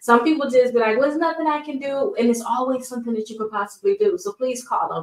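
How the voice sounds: A woman talks fast at a fairly high pitch, with ordinary pitch variation.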